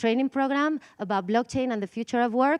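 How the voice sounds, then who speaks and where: In a Spanish accent, a woman speaks at a fairly high pitch with ordinary pitch variation, the background quiet and the sound dry and close with no echo. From Spain. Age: 40s. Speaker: conference speaker, DAO co-founder. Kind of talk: conference talk. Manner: halting, with many fillers.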